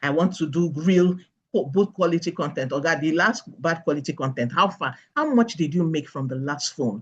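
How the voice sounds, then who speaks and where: The speech moves at a fairly quick pace. The background is quiet. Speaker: finance speaker. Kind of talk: webinar presentation. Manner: fast.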